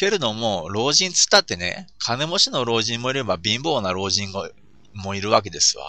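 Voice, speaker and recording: The man's pitch is medium, with very wide pitch swings. He keeps a moderate pace. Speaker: podcaster. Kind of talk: solo monologue podcast. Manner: many filler sounds, hesitant.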